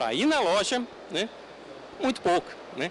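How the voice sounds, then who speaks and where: A man is speaking. His pitch swings very widely. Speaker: conference speaker on technology. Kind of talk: conference talk. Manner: halting, many fillers.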